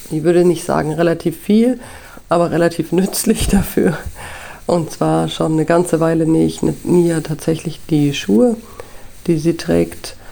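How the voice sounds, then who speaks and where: Delivered at a moderate pace with long, frequent pauses and ordinary pitch variation, the speech comes with noticeable background noise. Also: woman, fairly low pitch for a woman. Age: 30s. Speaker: podcast host, photo lab technician and mother. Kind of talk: solo podcast monologue.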